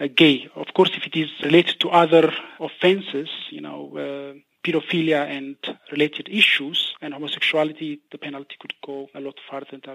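A man speaks in a fairly high voice with monotone, flat intonation. His loudness swings widely. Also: moderate pace. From Ethiopia. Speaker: human rights researcher. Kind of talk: interview. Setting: phone call.

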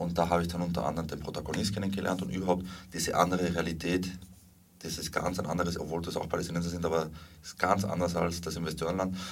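A man with a very deep, low pitch speaks at a very fast pace in monotone, flat intonation, with audible room echo and noticeable background noise. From Spain and Salzburg, Austria. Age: 30s. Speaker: documentary filmmaker and activist. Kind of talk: interview.

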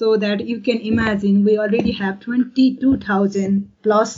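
Somewhat breathy, a woman with a Nepali accent speaks at a fairly high pitch with fairly even intonation. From rural Nepal. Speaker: forestry researcher. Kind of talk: interview. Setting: video call. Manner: halting.

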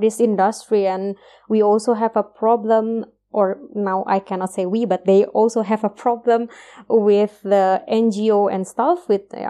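A woman's fairly high, dark, mellow voice with an Indonesian accent, fairly even intonation and a moderate pace, over a quiet background. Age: 30s. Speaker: PhD researcher in biotechnology. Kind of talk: interview. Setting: video call. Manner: hesitant, many fillers.

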